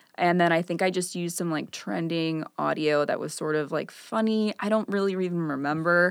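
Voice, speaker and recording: A normal speaking voice from a woman with an American accent, fairly low in pitch with ordinary pitch variation, at a fairly quick pace with hardly any pauses, in a very clean recording with a silent background. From US Midwest, Chicago northern suburbs. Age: 20s. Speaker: visual artist. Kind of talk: casual interview chat.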